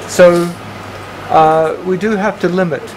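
A man's high-pitched voice with fairly even intonation over noticeable background noise. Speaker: professor chairing a PhD proposal defense. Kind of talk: academic panel discussion. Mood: friendly, encouraging. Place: meeting room.

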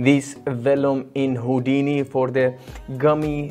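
Faint music plays in the background. Over it, a man speaks at a fairly slow pace. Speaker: VFX tutorial creator. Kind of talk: tutorial intro. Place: home room. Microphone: lapel.

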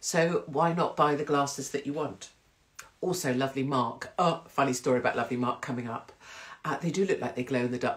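Over a quiet background, a woman with a very deep, low pitch speaks at a fairly quick pace with ordinary pitch variation. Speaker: live stream host. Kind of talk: casual vlog chat. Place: home room. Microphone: phone near.

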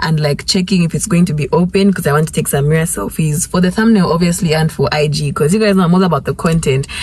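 Speech comes at a very fast pace with ordinary pitch variation. The sound is dry, with no echo. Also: woman, fairly low pitch for a woman. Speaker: vlogger. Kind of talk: casual vlog chat. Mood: cheerful, upbeat. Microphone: phone near.

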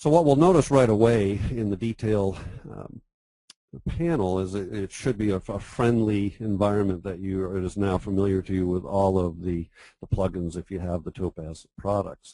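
A man talks at a moderate pace in a fairly low pitch. His tone is dark and mellow, with ordinary pitch variation. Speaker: professional photographer. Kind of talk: webinar tutorial. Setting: online webinar with screen share. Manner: enthusiastic.

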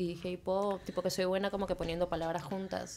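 Light background noise runs through the clip. A woman talks over it. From Peru, Lima; Peru. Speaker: musician; podcast guest. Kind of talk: casual chat. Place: studio. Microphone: studio mic.

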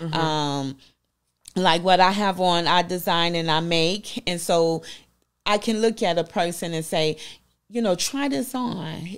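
Speaking with a Southern US accent, a woman uses a fairly low pitch and ordinary pitch variation at a fairly slow pace over a quiet background. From US South. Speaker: business owner; interview guest. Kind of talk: interview. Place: studio. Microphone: handheld.

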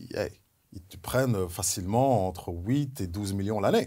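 Over a quiet background, a man speaks at a medium pitch with ordinary pitch variation. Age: 40s. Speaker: former pro basketball player and NBA analyst; NBA analyst. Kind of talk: casual chat. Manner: animated. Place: studio.

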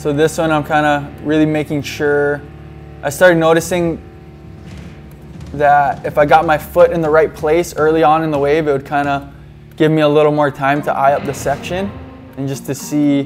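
A man's monotone, flat delivery at a moderate pace, broken by long, frequent pauses, with music in the background. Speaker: surfer reviewing his clips. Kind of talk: commentary. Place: home room.

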